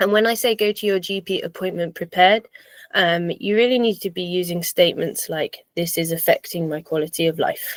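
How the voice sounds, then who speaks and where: Speaking at a fairly quick pace, a woman talks with an English accent. Her voice sounds dry and close, with no echo. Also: medium pitch for a woman, ordinary pitch variation. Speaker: personal trainer and fitness coach. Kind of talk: online seminar presentation.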